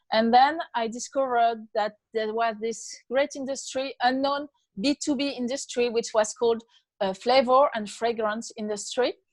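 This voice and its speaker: A woman's fairly high voice with a French accent, fairly even intonation, a moderate pace and long, frequent pauses, against a quiet background. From France. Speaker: author. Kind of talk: interview. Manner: halting.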